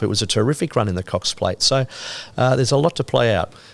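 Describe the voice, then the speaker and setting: Someone with an Australian accent talks very fast, with ordinary pitch variation. The recording is very clean and the background silent. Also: man. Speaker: horse racing caller. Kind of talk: podcast interview answer. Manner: casual, enthusiastic.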